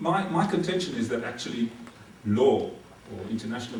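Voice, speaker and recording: With a South African accent and lively intonation, a man speaks at a moderate pace over audible room echo and noticeable background noise. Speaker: military legal advisor, lecturer. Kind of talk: lecture. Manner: halting, many fillers.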